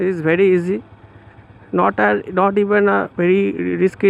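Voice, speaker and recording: A man with a Bengali accent speaks in a high pitch. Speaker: motorcycle vlogger. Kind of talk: tutorial. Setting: outdoors.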